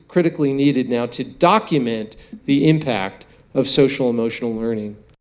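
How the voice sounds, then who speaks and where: A man at a moderate pace with lively intonation. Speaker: neuroscientist. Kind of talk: lecture Q&A.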